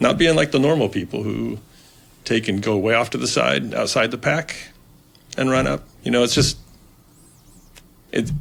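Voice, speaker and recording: A man with vocal fry speaks with very wide pitch swings and long, frequent pauses. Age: 60s. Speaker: fishing guide. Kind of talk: casual chat. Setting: studio.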